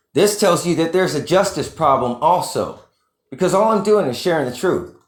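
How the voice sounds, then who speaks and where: In a room with audible echo, a man with a high pitch talks at a fairly quick pace with ordinary pitch variation. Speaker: YouTube commentator. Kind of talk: casual monologue rant. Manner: fast.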